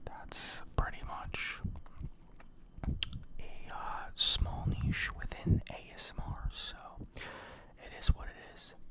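A man whispering at a very slow pace with long, frequent pauses, against noticeable background noise. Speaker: ASMR creator. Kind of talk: soft-spoken ASMR mic demo. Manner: close whisper right into mics. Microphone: earbuds.

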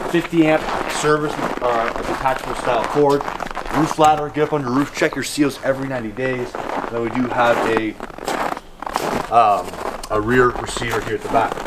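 Loud background noise runs beneath a man who speaks at a moderate pace with long, frequent pauses. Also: ordinary pitch variation. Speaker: RV salesman. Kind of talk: product walkaround presentation. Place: street.

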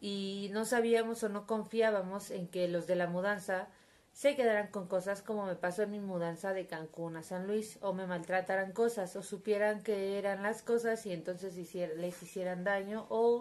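A woman speaks at a moderate speed, keeping her intonation fairly level. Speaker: vlogger. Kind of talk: casual vlog chat. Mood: wry, storytelling. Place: home room. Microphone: phone near.

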